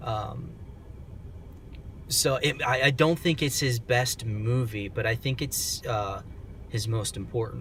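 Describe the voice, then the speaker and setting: The delivery is fairly slow. A somewhat breathy quality runs through it. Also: man. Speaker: film reviewer. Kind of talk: casual monologue review. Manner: soft-spoken; hesitant, many fillers.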